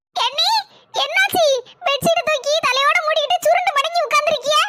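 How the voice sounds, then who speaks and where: Using a cartoonish character voice, a woman speaks at an extremely high pitch with very wide pitch swings and a moderate pace. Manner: brisk, casual.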